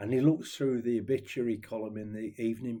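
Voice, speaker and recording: With an East Midlands accent, a man speaks at a moderate pace and medium pitch. His tone is dark and mellow, his intonation fairly even. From Nottingham, England. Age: 70s. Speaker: ukulele vlogger. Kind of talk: casual chat. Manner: rambling, hesitant with fillers.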